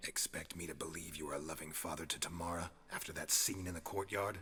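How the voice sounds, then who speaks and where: A growling put-on character voice from a man, very deep and low in pitch, at a very fast pace over clear background noise. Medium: video game. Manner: terse, flat.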